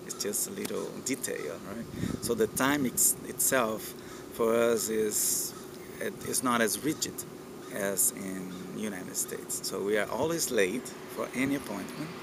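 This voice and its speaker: Amid noticeable background noise and audible room echo, a man with a Portuguese accent speaks at a fairly slow pace in a medium pitch. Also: ordinary pitch variation. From Brazil. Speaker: university lecturer and lab manager. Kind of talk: informal talk to camera. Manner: hesitant, many fillers.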